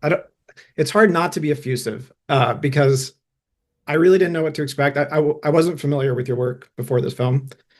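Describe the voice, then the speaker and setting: A man talks at a fairly quick pace in a fairly high pitch. He sounds somewhat breathy, with ordinary pitch variation. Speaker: podcast host. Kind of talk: interview.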